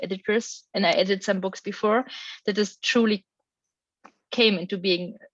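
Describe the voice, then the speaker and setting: A woman with a German accent, fairly high pitch, fairly even intonation and fairly quick pace, in a dry, close sound with no echo. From Germany. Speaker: academic researcher. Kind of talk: panel discussion.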